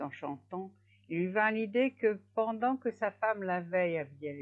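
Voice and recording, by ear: Pitch varies in an ordinary way as the passage is read aloud in a natural voice.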